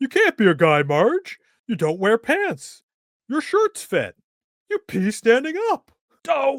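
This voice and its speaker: Using a put-on character voice, a man talks at a fairly slow pace with an extremely high pitch and long, frequent pauses. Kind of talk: comic impression. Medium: read story.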